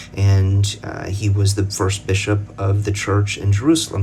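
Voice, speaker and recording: Amid noticeable background noise and audible room echo, a man with an American accent talks at a moderate pace with a fairly low pitch and monotone, flat intonation. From United States. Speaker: religious commentator. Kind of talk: casual explainer talk to camera. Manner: halting, many fillers and restarts.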